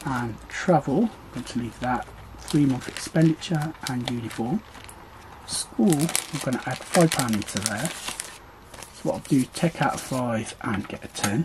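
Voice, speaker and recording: A man speaks at a very slow pace with long, frequent pauses. Noticeable background noise is present. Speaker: budgeting vlogger. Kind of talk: tutorial.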